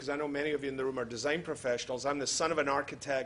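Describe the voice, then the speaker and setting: A man with a Scottish accent talks at a very fast pace in a fairly high pitch. His tone is bright and sharp, and the room echo is audible. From Scotland. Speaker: healthcare futurist and keynote speaker. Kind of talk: lecture. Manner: witty.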